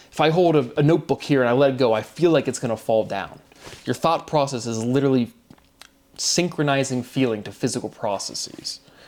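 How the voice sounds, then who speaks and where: Noticeable background noise sits behind a man's voice. He speaks at a medium pitch and a fairly quick pace. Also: ordinary pitch variation. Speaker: independent theorist sharing his own work. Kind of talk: solo monologue. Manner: rambling with many fillers.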